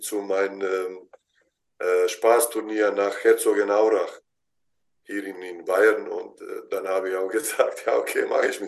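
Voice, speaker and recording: Man with a Bosnian accent at a fairly slow pace. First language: Bosnian (speaking German). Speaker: basketball head coach. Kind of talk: interview. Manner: halting.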